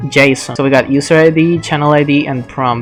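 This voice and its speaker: Music plays in the background as the speaker, with a non-native accent, goes at a moderate pace. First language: not English. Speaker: software developer. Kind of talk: software tutorial talk. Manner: casual.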